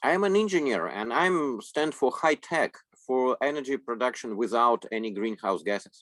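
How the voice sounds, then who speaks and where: A man speaks with a Russian accent, his pitch swinging very widely. The sound is dry and close, with no echo. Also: medium pitch for a man, moderate pace. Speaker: interpreter. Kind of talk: consecutive interpreting. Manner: halting.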